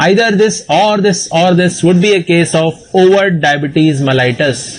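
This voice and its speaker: A man with an Indian accent speaks at a high pitch and moderate pace, with ordinary pitch variation and very even loudness over noticeable background noise. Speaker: obstetrician and medical exam teacher. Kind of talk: lecture.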